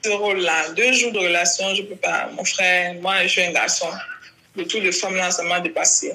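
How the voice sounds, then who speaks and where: Noticeable background noise and audible room echo surround a voice with fairly even intonation at a moderate pace. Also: woman, medium pitch for a woman. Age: 30s. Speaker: LGBT rights activist. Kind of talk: interview.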